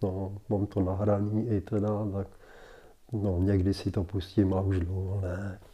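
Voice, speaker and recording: Over a quiet background, a man with a fairly low, somewhat breathy voice speaks at a fairly slow pace in a monotone, flat intonation. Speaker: interviewee recalling his 1960 wedding. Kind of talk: casual interview recollection. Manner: halting, many fillers.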